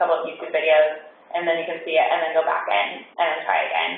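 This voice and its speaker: A woman's voice amid noticeable background noise and audible room echo. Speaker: school technology coach. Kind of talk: staff training presentation. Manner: fast; casual, filler-heavy.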